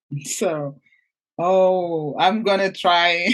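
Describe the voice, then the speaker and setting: Here is a woman in a Portuguese accent. Her pitch is medium. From Portugal. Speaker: mindset coach and entrepreneur. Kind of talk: interview.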